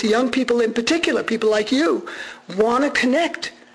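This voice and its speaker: Audible room echo, a fairly quick pace, lively intonation and noticeable background noise. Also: man. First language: Armenian. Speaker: radio journalist giving a talk. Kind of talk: public lecture. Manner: animated.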